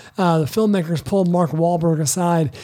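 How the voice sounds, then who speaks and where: A man's dark, mellow tone at a fairly quick pace. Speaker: podcast host. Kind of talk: casual chat.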